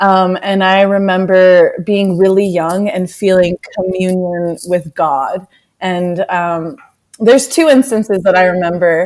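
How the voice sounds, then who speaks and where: Speaking at a fairly slow pace in an American accent, a woman uses a plain, everyday voice with medium pitch and ordinary pitch variation. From United States. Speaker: yoga and social justice activist. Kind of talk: interview.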